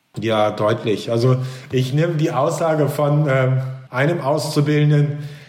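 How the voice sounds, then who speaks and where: A man with a fairly high pitch speaks somewhat breathily at a fairly slow pace, his intonation fairly even, with audible room echo. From East Frisia, northern Germany. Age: 40s. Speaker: business executive and author. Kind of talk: interview. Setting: video call.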